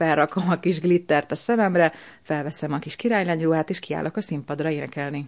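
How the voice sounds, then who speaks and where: Over a quiet background, a woman with a very deep, low pitch speaks with ordinary pitch variation. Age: 40s. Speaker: operetta and musical actress, bread baker. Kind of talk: interview.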